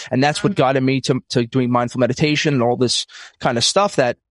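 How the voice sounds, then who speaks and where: Speaking with a New York accent, a man talks at a very fast pace and a medium pitch. His intonation is fairly even, and the sound is dry and close with no echo. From US, Brooklyn, New York. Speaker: financial advisor, podcaster and comedian. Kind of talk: casual chat.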